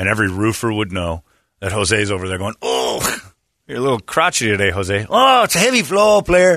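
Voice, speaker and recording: Against a quiet background, a man with a fairly low pitch and a bright, sharp tone speaks at a fairly quick pace with ordinary pitch variation. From Northwest Indiana. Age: 40s. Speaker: radio morning show host. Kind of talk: casual chat. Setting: studio.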